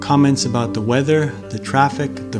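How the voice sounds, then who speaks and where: Clear music plays in the background. A man with an American accent speaks at a moderate pace. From Boston, Massachusetts, USA. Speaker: English teacher. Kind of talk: casual talk to camera. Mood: calm, friendly. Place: home room.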